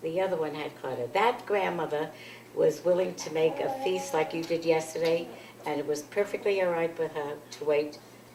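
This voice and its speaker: A woman with a New York accent and a very deep, low pitch talks at a moderate pace with ordinary pitch variation amid noticeable background noise. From New York City. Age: 80s+. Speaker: grandmother interviewed by family. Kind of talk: oral history interview. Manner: halting.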